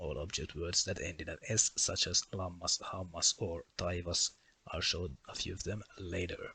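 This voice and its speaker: A man with a Finnish accent talks at a moderate pace in a very deep, low pitch, with a bright, sharp tone. His intonation is fairly even, and the background is quiet. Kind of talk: educational explainer.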